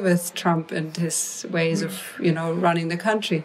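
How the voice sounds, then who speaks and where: A woman speaks at a moderate pace. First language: non-English. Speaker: mantra musician. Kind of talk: interview conversation. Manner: halting.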